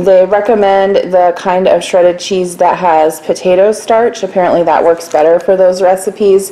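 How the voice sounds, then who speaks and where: The voice belongs to a woman. She keeps her intonation fairly even. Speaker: home vlogger. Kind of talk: casual haul commentary. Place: kitchen. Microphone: phone near.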